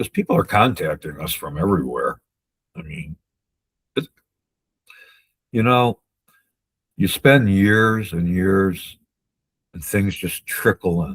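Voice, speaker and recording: Pausing long and often, a man speaks at a fairly slow pace in a fairly low voice. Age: 60s. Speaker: wrongful conviction advocate. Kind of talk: interview. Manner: halting.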